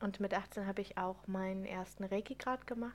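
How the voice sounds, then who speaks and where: Speaking here is a woman with a medium pitch. Her intonation stays fairly even. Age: 30s. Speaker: podcast host, spiritual coach. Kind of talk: solo podcast monologue. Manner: unscripted, many fillers.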